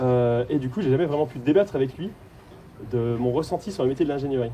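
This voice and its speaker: A man's very fast, somewhat breathy voice, dark and mellow in tone, at a medium pitch. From France, Haute-Saône. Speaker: performer of an activist lecture, former engineer. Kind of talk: participatory stage lecture. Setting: stage with audience.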